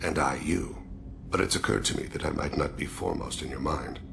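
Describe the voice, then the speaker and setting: Over loud background noise, a man rattles off lines very fast in a put-on character voice. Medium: video game. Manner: quiet, formal, deliberate.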